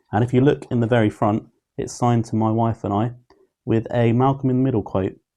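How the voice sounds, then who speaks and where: Against a quiet background, a man talks at a fairly quick pace in a medium pitch, his tone dark and mellow and his intonation fairly even. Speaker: YouTube TV reviewer. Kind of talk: opinion review monologue. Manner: monotone.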